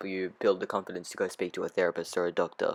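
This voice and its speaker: In a very clean recording with a silent background, a man speaks with a dry, close sound and no echo. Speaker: podcast host. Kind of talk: casual monologue. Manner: unconfident, hesitant; unscripted, filler words.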